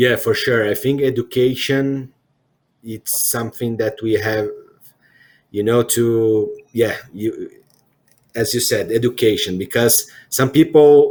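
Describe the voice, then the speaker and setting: A man with a Portuguese accent speaks very slowly at a medium pitch, leaving long, frequent pauses. His intonation stays fairly even, and the recording is very clean with a silent background. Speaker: CEO interviewer. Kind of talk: interview conversation. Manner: halting.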